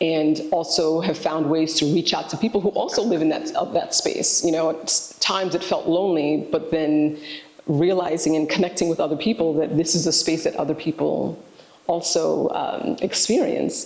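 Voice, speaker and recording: A woman talks at a moderate pace with a fairly low pitch and fairly even intonation. Her loudness stays very even amid noticeable background noise. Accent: New York. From New York City, Haitian-American. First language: Haitian Creole. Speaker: educator, director of a language immersion program. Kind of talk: interview, personal reflection. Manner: halting, with fillers.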